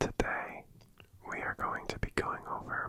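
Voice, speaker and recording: A woman is whispering. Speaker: ASMR creator. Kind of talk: ASMR soft-spoken talk to camera. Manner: soft-spoken, relaxed.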